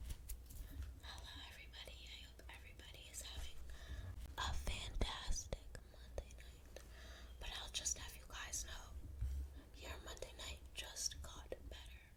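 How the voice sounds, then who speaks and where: Whispering and soft-spoken, the voice moves at a fairly slow pace over noticeable background noise. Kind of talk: ASMR bedtime story reading. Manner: whispered, soft.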